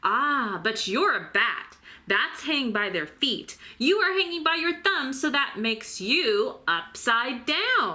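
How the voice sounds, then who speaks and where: Loud and high-pitched, a woman performs a put-on character voice at a fairly slow pace with very wide pitch swings. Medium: read story.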